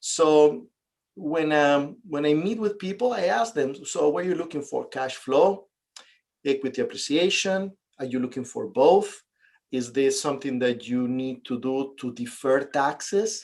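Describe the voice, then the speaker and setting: At a fairly slow pace, a man with a Venezuelan accent speaks in a fairly high pitch with lively intonation. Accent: Venezuelan Spanish accent, noticeable. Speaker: real estate investor and realtor. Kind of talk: interview.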